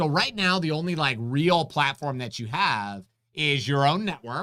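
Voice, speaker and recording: A man speaks loud, with a bright, sharp tone. His pitch is fairly high and his intonation lively. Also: moderate pace, very clean recording, silent background. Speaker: concealed carry instructor, channel host. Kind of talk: live stream Q&A chat. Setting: live stream.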